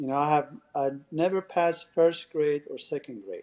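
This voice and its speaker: Using a dark, mellow tone, a man with a Persian accent talks at a moderate pace and a fairly high pitch. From Iran. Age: 60s. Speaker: salon and med spa owner. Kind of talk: podcast interview. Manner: halting.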